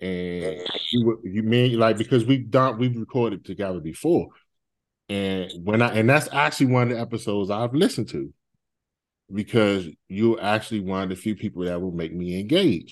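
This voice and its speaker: Against a quiet background, a man talks at a moderate pace with a fairly low pitch, ordinary pitch variation, and an ordinary speaking voice. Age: 40s. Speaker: podcast host being interviewed. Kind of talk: casual chat interview.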